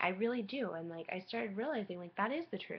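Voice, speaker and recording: A woman talks at a fairly quick pace in an unremarkable speaking voice. Her medium pitch carries lively intonation. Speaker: vlogger sharing personal health story. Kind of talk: personal webcam vlog.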